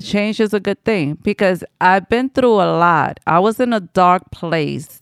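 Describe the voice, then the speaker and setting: An unremarkable speaking voice, a woman talks at a fairly slow pace with lively intonation on a very clean recording with a silent background and a dry, close sound with no echo. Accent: American. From New York City, the Bronx. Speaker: weight loss story guest. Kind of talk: casual interview.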